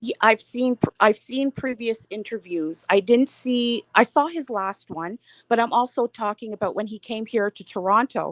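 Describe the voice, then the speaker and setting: At a moderate pace, a woman speaks with ordinary pitch variation and big swings in loudness, the sound dry and close with no echo. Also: fairly high pitch for a woman. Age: 60s. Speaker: caller on live panel. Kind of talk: live panel discussion. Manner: halting, repeats words.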